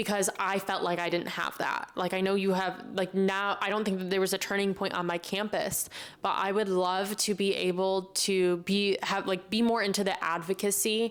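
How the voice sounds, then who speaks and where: A woman with an American accent speaks at a medium pitch and a moderate pace, with hardly any pauses and monotone, flat intonation. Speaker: podcast host. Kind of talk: casual Q&A monologue. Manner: loud, chatty.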